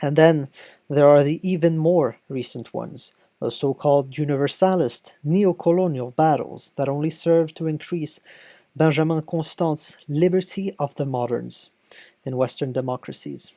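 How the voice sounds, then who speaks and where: In a very clean recording with a silent background, a woman with a French accent speaks in a dark, mellow tone at a very deep, low pitch, her intonation fairly even. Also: moderate pace. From France. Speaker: video essayist on political theory. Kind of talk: video essay narration. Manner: formal.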